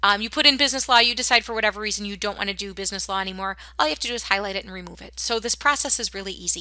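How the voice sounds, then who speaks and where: A woman's medium-pitched voice with vocal fry and a bright, sharp tone, very fast with hardly any pauses, big swings in loudness and ordinary pitch variation. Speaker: school counselor or staff. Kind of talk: tutorial.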